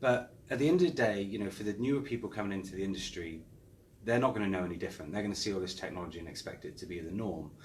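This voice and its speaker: A man with an English accent and a fairly low pitch talks at a very fast pace with ordinary pitch variation, amid audible room echo. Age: 40s. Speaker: property marketing director. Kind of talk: interview.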